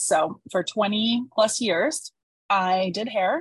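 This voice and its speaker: Somewhat breathy, a woman speaks. Her pitch sits at medium. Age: 40s. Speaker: former hairstylist turned copywriter and entrepreneur. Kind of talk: casual interview.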